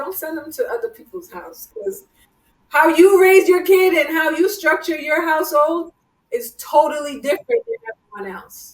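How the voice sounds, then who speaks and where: A woman's extremely high-pitched voice with a slight Jamaican accent, lively intonation, big swings in loudness and a moderate pace. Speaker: podcast host. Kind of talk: casual chat.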